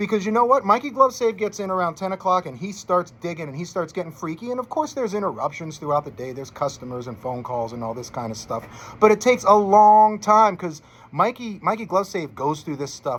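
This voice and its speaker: The speaker moves at a fairly quick pace with hardly any pauses, very wide pitch swings and big shifts in loudness. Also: man. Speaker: sports betting tipster. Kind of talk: sports betting picks monologue. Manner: fast; casual, chatty.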